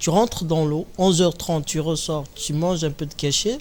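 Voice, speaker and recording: A fairly high-pitched man at a fairly quick pace, with fairly even intonation. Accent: Kabyle. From Kabylie, Algeria. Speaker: comedian. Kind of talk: interview.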